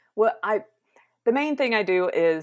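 Speaking at a moderate pace, a woman talks in a Southern US accent. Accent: Southern American. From South Carolina, US South. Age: 30s. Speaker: mental health advocate and entertainer. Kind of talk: interview. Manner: upbeat, laughs often.

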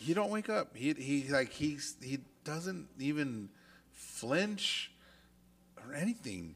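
A loud man with a fairly high voice, very wide pitch swings, a very slow pace, and long, frequent pauses. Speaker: podcast co-host, industrial supply branch manager. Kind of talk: casual chat.

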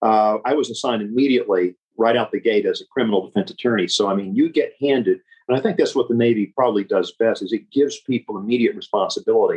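In an American accent, a man talks at a very fast pace. His loudness stays very even. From Memphis, Tennessee (US South). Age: 60s. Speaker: estate planning attorney, Navy veteran. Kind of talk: interview.

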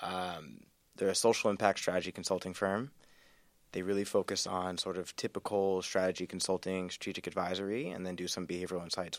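A man speaks at a fairly quick pace in an American accent, his pitch very deep and low and his intonation fairly even. The recording is very clean, with a silent background. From North Carolina. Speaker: business school student. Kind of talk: casual chat.

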